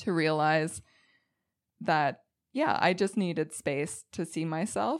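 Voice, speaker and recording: The woman's pace is fairly slow. Her pitch is very deep and low. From Quebec, Eastern Townships (anglophone). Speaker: sound healer. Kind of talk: casual interview.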